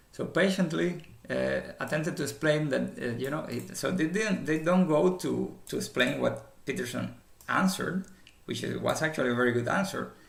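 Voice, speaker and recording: A man talks at a moderate pace, and audible room echo fills the space around him. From former communist country. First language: not English. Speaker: commentator. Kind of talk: casual commentary monologue. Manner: halting, many fillers and repetitions.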